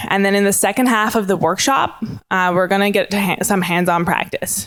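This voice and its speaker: Noticeable background noise accompanies a woman talking very fast at a medium pitch. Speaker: IT specialist presenting a workshop. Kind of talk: conference workshop presentation.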